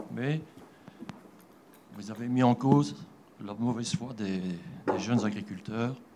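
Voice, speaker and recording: The speech moves at a very slow pace with long, frequent pauses. The intonation is lively. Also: man, medium pitch for a man. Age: 60s. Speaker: audience member at conference. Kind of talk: question from the floor.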